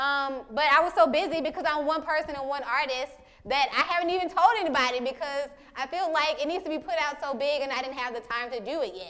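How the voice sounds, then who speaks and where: A woman with a high pitch, ordinary pitch variation and a very fast pace. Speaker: photographer and artist giving a talk. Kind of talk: talk with audience Q&A. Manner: halting, many fillers and repetitions.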